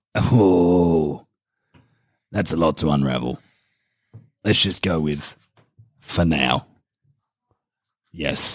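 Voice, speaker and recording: Putting on a character voice, a man speaks very slowly in a raspy, very deep, low pitch with ordinary pitch variation and long, frequent pauses. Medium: actual play. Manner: terse.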